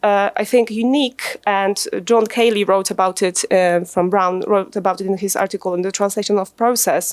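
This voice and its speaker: A woman with a Polish accent, medium pitch, ordinary pitch variation, a moderate pace and hardly any pauses. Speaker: translator and academic. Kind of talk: conference presentation. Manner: hesitant, many fillers.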